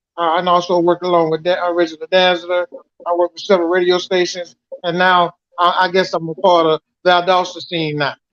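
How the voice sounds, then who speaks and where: With an American accent, a man speaks fast in a high pitch and a monotone, flat intonation. The sound is dry and close, with no echo, and his pace is fairly quick. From Georgia, US South. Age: 60s. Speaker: bass player. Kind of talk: casual chat. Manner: halting.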